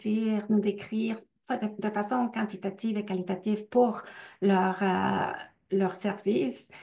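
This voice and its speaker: The speaker has a non-native accent and fairly even intonation. Vocal fry runs through the voice. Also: woman. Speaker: researcher. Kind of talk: webinar Q&A. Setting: online webinar. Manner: hesitant, many fillers.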